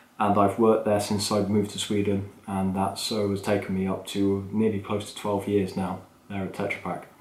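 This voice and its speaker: A man's fairly low voice stays monotone and flat, with audible room echo around it. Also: moderate pace. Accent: English. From England. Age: 30s. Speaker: podcast host, business manager. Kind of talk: unscripted solo podcast talk. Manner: casual, off the cuff with fillers.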